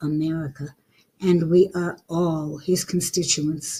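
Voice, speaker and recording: A woman's dark, mellow tone, somewhat breathy. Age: 70s. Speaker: podcaster and author. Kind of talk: reading aloud own letter.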